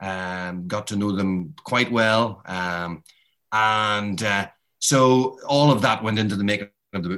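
Bright and sharp in tone, a man with a Northern Irish accent speaks at a fairly low pitch with ordinary pitch variation. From Northern Ireland (Derry). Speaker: boxing author and journalist. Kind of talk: interview. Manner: halting.

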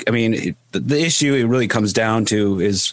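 A man with a normal speaking voice, fairly low pitch, ordinary pitch variation and a moderate pace. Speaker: podcast host. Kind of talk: casual interview chat. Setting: video call.

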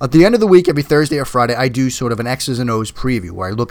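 Very rapid speech from a man, pitch varying in an ordinary way. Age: 40s. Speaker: NFL podcast host and football analyst. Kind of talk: solo sports podcast monologue.

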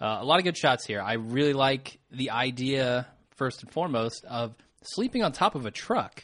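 A man's unremarkable speaking voice, medium in pitch with ordinary pitch variation, at a moderate pace with big swings in loudness against a quiet background. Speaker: podcast host. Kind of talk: casual chat.

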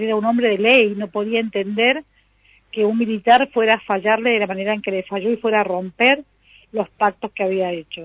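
With an unremarkable speaking voice, a woman talks at a fairly quick pace, fairly high in pitch and with fairly even intonation. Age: 60s. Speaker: local culture director. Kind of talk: radio interview.

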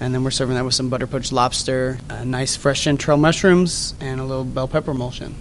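A man with an American accent talks at a very fast pace with hardly any pauses. Noticeable background noise is present. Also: medium pitch for a man, fairly even intonation. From Dallas-Fort Worth area, Texas. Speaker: chef. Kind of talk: interview. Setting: restaurant lobby.

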